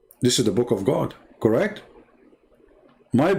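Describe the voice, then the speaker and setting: A man at a very fast pace against noticeable background noise. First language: Arabic. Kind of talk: livestream polemic talk. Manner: animated. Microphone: audio problems.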